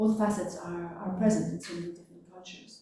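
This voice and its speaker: A speaker with a French accent talks in a room with audible echo. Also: woman. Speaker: philosophy lecturer. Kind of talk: public talk.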